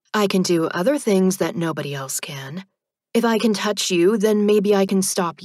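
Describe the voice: Ordinary pitch variation in plain reading aloud, with a quiet background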